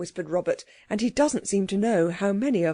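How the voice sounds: The speaker uses a natural reading voice, and the intonation is lively.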